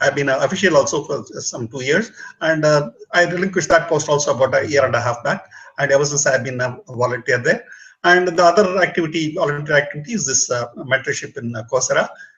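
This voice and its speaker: A man with a Tamil accent talks very fast at a fairly high pitch with ordinary pitch variation. Noticeable background noise can be heard. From southern India, Bangalore. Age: 60s. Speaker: retired public speaking mentor. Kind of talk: self-introduction.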